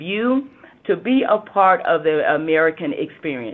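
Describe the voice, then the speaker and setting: A woman with a Southern US accent and lively intonation. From US South. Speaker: government regulator.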